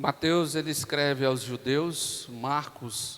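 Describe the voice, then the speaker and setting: Soft-spoken voice at a very slow pace with ordinary pitch variation, over music in the background. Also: man. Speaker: pastor. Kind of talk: sermon. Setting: church.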